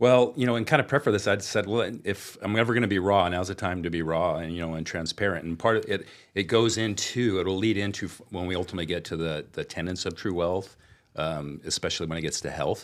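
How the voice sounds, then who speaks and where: A man with a Californian accent and a very deep, low pitch, very fast, with ordinary pitch variation. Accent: General American (Californian). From Southern California, Anaheim. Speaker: wealth management business owner. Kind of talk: podcast interview.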